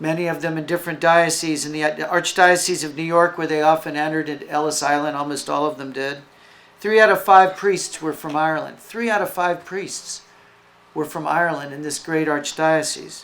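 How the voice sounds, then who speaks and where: Speaking at a fairly quick pace with an American accent, a man uses a plain, everyday voice pitched fairly high. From US South, Florida. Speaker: foundation representative. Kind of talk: speech. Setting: event with audience.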